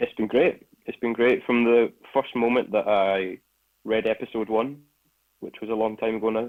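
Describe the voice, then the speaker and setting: A man speaks in a Scottish accent at a medium pitch. His intonation is fairly even, at a moderate pace with long, frequent pauses. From Scotland. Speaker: actor. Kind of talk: interview.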